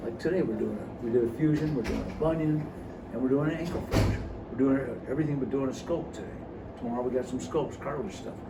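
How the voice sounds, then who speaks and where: Amid noticeable background noise and audible room echo, a man talks very fast with ordinary pitch variation. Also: medium pitch for a man. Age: 70s. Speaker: orthopedic surgeon. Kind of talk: casual interview. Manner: halting, with many fillers and restarts.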